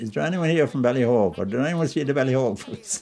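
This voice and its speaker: Over noticeable background noise, a man with a Wexford accent talks at a very fast pace. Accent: rural Wexford Irish. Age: 70s. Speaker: retired hurler. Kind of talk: reminiscing interview.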